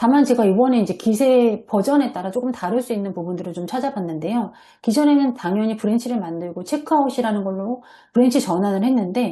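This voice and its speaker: A woman's fairly high, somewhat breathy voice with a dark, mellow tone, lively intonation and a very fast pace, over a quiet background. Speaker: software developer presenting at a seminar. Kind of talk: online seminar presentation with screen share. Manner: hesitant fillers.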